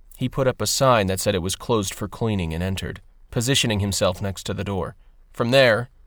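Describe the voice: Ordinary pitch variation in plain reading aloud.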